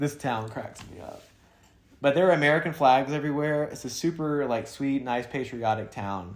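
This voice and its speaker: With a Southern US accent, the speaker moves at a moderate pace, showing ordinary pitch variation, big swings in loudness and long, frequent pauses. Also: man. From US South. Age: 30s. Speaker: podcast co-host, thru-hiker. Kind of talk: casual chat.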